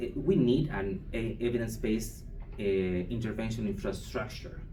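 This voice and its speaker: With a Chilean accent, a man speaks at a fairly slow pace. Audible room echo surrounds his voice. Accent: non-native English, Chilean Spanish. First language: Spanish. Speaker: foundation program manager presenting at conference. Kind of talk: conference presentation. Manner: halting, many hesitations and restarts.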